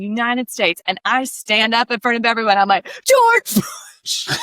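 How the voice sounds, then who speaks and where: At a moderate pace, a woman with a fairly high pitch speaks in an animated tone, her sound dry and close with no echo. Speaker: podcast host. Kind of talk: casual chat. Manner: loud.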